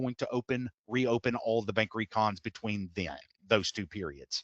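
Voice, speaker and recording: A man with a Texas accent is heard in a dry, close sound with no echo. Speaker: software implementation consultant. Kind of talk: software tutorial webinar. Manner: fast.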